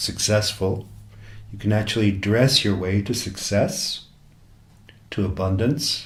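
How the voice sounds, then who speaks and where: A man speaks at a fairly slow pace in a relaxed tone, his pitch fairly low. His voice is somewhat breathy, with audible room echo. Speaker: self-help coach. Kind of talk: talk. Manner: slow, relaxed, hypnotic.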